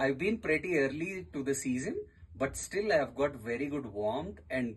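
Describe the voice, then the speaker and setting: A man at a moderate pace with an Indian accent, medium pitch, a somewhat breathy quality and very wide pitch swings. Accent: Indian English, Telugu. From southern India, Telangana (Hyderabad). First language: Telugu. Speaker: tourist and podcaster. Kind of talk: radio interview.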